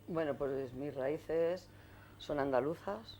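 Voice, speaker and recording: There is a dark, mellow tone to this woman's voice, and her pitch varies in an ordinary way. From Getafe, Madrid, Spain. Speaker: women's rights activist and trade unionist. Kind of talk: oral history interview.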